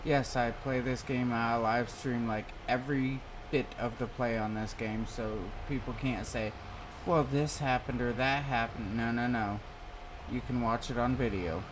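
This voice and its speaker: In a relaxed tone, a man with an American accent speaks at a moderate pace and medium pitch. His intonation is fairly even, and room echo is audible. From US Midwest. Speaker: gaming live streamer. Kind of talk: casual chat while gaming. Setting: live stream.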